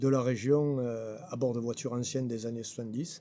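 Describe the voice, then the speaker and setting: The man's medium-pitched voice has a dark, mellow tone and fairly even intonation. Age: 60s. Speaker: local election candidate. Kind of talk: interview. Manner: hesitant with fillers.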